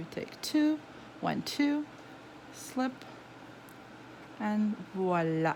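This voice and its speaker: Very slow speech with a non-native accent, very wide pitch swings and long, frequent pauses. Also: woman, fairly high pitch for a woman. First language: not English. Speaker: knitting tutor. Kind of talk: tutorial. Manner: halting.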